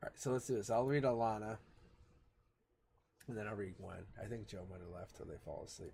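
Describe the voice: A man puts on a hoarse, raspy character voice at medium pitch. He talks fairly quickly but leaves long, frequent pauses.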